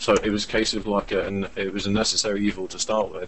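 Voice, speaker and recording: Monotone with flat intonation, a man with an English accent speaks at a fairly quick pace. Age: 30s. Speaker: visual effects director. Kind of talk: casual chat.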